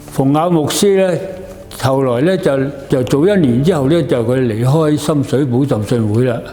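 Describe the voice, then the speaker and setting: With noticeable background noise, a man at fairly high pitch keeps his loudness very even and his pitch variation ordinary. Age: 80s+. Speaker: church elder. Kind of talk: interview answer.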